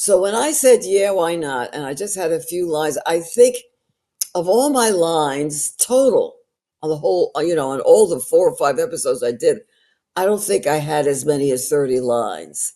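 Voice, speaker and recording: A woman speaks at a moderate pace in a fairly low pitch. Her dark, mellow tone rides very wide pitch swings. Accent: New York. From New York. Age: 80s+. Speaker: actress and storyteller. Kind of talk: podcast interview answer. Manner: honest, colorful.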